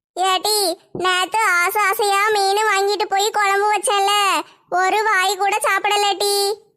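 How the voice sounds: A woman puts on a cartoonish character voice at an extremely high pitch, with monotone, flat intonation and a very slow pace.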